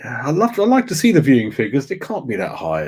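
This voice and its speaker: The recording is very clean with a silent background. A man speaks quietly at a fairly quick pace. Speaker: football fan vlogger. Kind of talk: casual monologue. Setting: home study at night.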